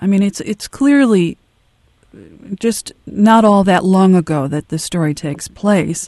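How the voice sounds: Soft-spoken and fairly slow, a woman talks at a medium pitch with ordinary pitch variation and a slightly mellow tone, the sound dry and close with no echo.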